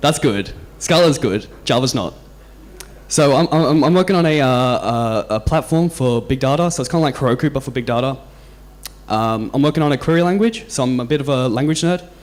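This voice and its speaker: Speaking with an Australian accent at a fairly quick pace, a man has a fairly high pitch and ordinary pitch variation. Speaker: software engineer, conference speaker. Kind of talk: conference talk. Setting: stage with audience. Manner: halting, many repeated words and fillers.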